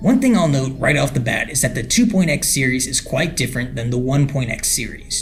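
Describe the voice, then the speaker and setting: A man speaks with music playing in the background. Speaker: online mystery investigator. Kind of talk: analysis video narration.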